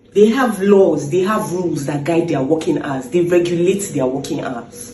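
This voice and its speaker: Noticeable background noise sits behind the voice. The pace is moderate. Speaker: doctor. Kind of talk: persuasive public speech.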